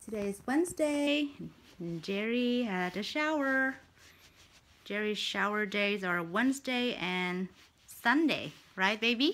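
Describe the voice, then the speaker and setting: The speaker pauses often and at length. The intonation is lively. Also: woman. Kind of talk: pet talk, casual vlog chat. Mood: tender, soothing. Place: home room. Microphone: phone near.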